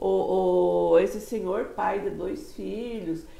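A woman speaks, with audible room echo around her voice. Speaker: interviewer, portal host. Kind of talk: casual interview. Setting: studio. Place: studio. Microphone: lapel.

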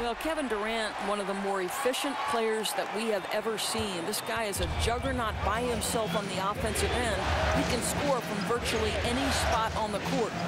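Hardly any pauses break up this moderately paced speech, and noticeable background noise runs behind it. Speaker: color commentator. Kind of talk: live commentary. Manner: measured, analytical.

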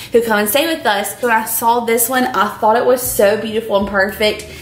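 A woman speaks with fairly even intonation. Audible room echo surrounds her voice. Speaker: lifestyle vlogger. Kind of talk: casual vlog chat, sponsored product review. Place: kitchen.

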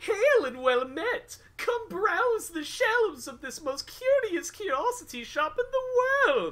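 In a put-on character voice pitched extremely high, a man speaks at a fairly slow pace with very wide pitch swings. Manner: jovial, theatrical greeting.

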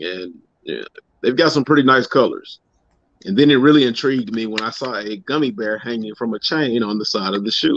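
Fairly quick speech from a man, ordinary pitch variation, a dry sound with no echo and light background noise. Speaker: guest sneaker youtuber. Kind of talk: casual chat. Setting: video call. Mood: upbeat, joking. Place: home room. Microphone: video call.

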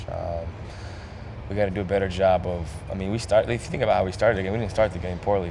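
The intonation stays monotone and flat against noticeable background noise. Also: man. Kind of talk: interview answer. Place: hall. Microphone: handheld.

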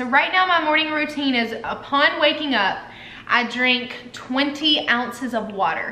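The room echo is audible. A woman is speaking. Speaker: wellness vlogger. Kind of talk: casual vlog chat. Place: home room. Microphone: camera far.

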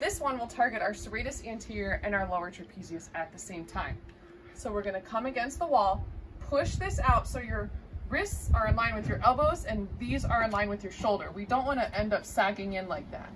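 A woman speaks at a fairly quick pace with big swings in loudness. Noticeable background noise is present. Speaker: physical therapy instructor. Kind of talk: tutorial. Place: garden. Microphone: camera far.

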